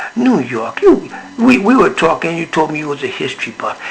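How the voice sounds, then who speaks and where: Background noise is clearly audible as a man speaks at a moderate speed. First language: not English. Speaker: veteran and activist. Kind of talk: casual interview. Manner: angry.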